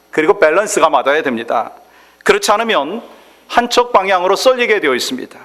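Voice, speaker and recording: Over noticeable background noise, a man speaks at a high pitch and moderate pace, his pitch swinging very widely. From South Korea, Chungcheong. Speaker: pastor. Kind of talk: sermon.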